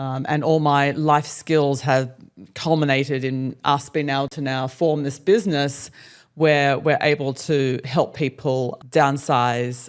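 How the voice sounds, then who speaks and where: Intonation holds fairly even. Behind it, the background is silent and the recording very clean. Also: woman. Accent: Australian. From Australia. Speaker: relocation business owner and podcast co-host. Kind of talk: casual interview chat.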